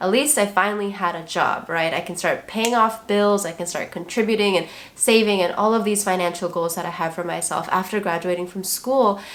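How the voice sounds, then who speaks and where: With noticeable background noise behind her, a woman talks at a fairly quick pace and medium pitch, with ordinary pitch variation and hardly any pauses. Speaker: social worker and therapist, lifestyle vlogger. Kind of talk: casual vlog monologue.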